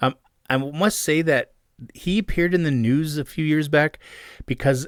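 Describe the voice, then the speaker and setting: A man with a Canadian accent, ordinary pitch variation, on a very clean recording with a silent background. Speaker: podcast host and long-distance hiker. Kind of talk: casual storytelling monologue. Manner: fast.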